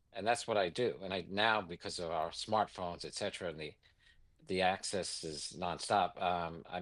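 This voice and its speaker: Against a quiet background, a man speaks with a New York accent at a very deep, low pitch. His intonation is fairly even and his pace moderate. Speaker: investment executive. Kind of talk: interview.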